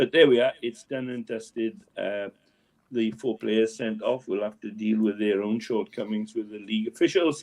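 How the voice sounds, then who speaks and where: Speaking in a Welsh accent, a man keeps a moderate pace, a medium pitch and fairly even intonation. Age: 70s. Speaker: local sports correspondent. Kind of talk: casual chat.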